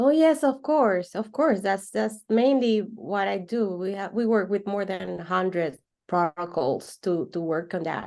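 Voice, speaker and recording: Against a quiet background, a woman with a Spanish accent speaks at a fairly slow pace with hardly any pauses. Her medium-pitched voice has lively intonation. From Venezuela. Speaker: holistic coach. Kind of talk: interview conversation. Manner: halting, repeats words.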